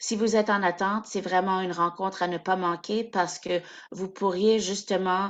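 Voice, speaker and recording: At a moderate pace, a woman with a medium pitch speaks in a flat, monotone way. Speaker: adoption support coordinator. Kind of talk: webinar announcements. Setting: video call.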